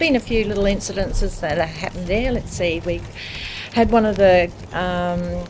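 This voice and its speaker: The speaker goes at a moderate pace with long, frequent pauses and ordinary pitch variation. Noticeable background noise is present. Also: woman. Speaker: hotel publican. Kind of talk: interview answer.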